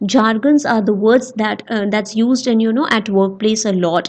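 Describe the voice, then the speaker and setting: Her fairly high voice moves at a moderate pace, and this woman keeps her intonation fairly even. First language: not English. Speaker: educational YouTuber teaching soft skills. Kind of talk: lecture. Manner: halting, many fillers.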